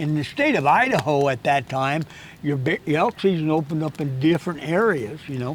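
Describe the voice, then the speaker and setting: Talking at a fairly quick pace, a man with a rural western American accent uses a fairly high pitch and ordinary pitch variation. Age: 80s+. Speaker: hunting guide and instructor. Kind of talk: casual interview chat. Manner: halting, many repetitions and false starts.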